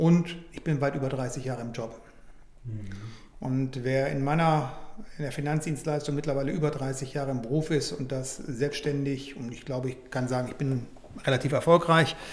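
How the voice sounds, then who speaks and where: Fairly high male voice at a moderate pace, fairly even in intonation, with audible room echo and noticeable background noise. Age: 60s. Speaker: financial services director. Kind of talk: interview.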